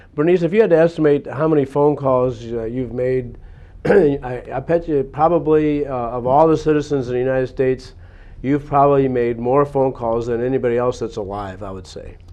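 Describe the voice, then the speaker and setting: A man with an unremarkable speaking voice, medium pitch, ordinary pitch variation, a fairly quick pace and big swings in loudness. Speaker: city mayor, local TV host. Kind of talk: interview questions, local cable talk show.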